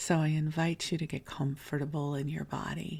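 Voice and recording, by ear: A woman speaks softly in a low, breathy voice with vocal fry and a croaky quality. Her pitch barely moves. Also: moderate pace, slightly mellow tone.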